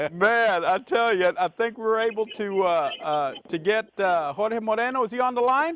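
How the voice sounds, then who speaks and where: A loud, high-pitched male voice at a moderate pace, with lively intonation and hardly any pauses. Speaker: TV talk show host. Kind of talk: talk show. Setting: studio.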